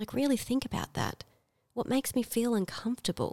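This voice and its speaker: A woman with an Australian accent speaks at a fairly high pitch, the sound dry and close with no echo. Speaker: podcast co-host, school worker. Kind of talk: casual chat. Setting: at home across a coffee table.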